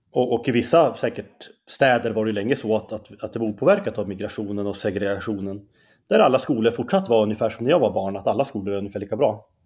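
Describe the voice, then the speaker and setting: Over a very clean recording with a silent background, a man talks at a very fast pace and a fairly low pitch, his pitch varying in an ordinary way. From Norrland, Skellefteå area. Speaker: columnist and debater. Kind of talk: interview conversation. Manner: halting.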